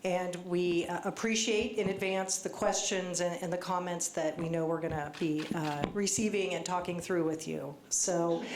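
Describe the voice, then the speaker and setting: A woman at fairly low pitch speaks at a moderate pace with hardly any pauses and fairly even intonation, heard through audible room echo and noticeable background noise. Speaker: government official. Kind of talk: public presentation. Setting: community meeting with audience.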